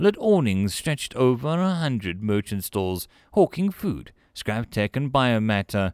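Someone is reading aloud in a natural voice.

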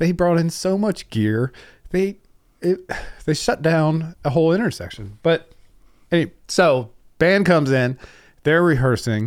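Lively intonation marks this man's fairly high voice, and his loudness stays very even. He talks at a fairly slow pace with long, frequent pauses. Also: very clean recording, silent background. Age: 40s. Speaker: music club owner and talent booker. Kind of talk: casual interview conversation.

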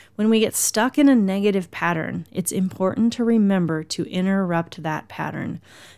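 The recording is very clean, with a silent background. A woman uses an unremarkable speaking voice at a medium pitch with ordinary pitch variation. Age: 50s. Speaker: happiness coach and podcast host. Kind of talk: motivational solo podcast talk.

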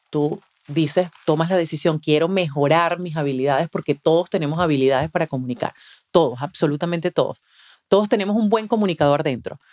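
Heard with a dry, close sound and no echo, a woman has a normal speaking voice, a fairly low pitch, ordinary pitch variation and a fairly quick pace. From Venezuela. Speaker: communication mentor and voice-over announcer. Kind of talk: interview. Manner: polished announcer delivery.

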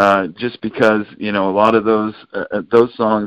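A man talks in a normal speaking voice, pitched fairly low. His pace is moderate. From US West Coast, San Francisco Bay Area. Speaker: children's musician. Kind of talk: interview. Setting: phone call.

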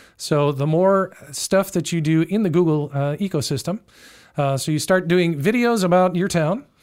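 Captured in a very clean recording with a silent background, the voice carries an American accent and ordinary pitch variation. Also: man, high pitch for a man, moderate pace. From Chicago. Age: 60s. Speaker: real estate agent. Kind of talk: casual interview chat. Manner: halting, many fillers.

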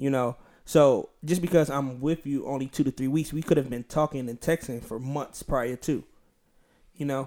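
Recorded very cleanly against a silent background, a man with a normal speaking voice talks at a moderate pace with fairly even intonation. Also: fairly high pitch for a man. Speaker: podcast host. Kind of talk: casual chat.

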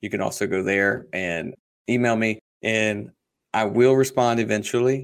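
A man with an American accent speaks at a medium pitch and moderate pace, his intonation fairly even. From US South, South Carolina. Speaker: real estate investor. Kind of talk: interview.

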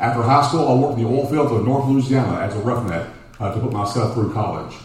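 With a Texan accent, a man talks amid noticeable background noise and audible room echo. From Texas, Dallas (Oak Cliff). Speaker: congressional candidate, educator. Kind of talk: campaign speech. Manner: halting, repeats words.

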